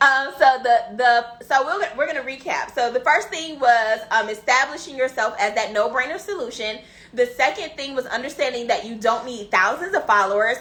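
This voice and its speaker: A high-pitched woman talks at a moderate pace with hardly any pauses, in an animated tone with lively intonation. Noticeable background noise is present. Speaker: business coach. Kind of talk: live stream teaching.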